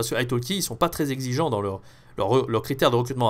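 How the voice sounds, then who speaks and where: Very fast speech from a man comes through on a very clean recording with a silent background. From France. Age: 20s. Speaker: French teacher. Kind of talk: tutorial. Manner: casual, with many fillers.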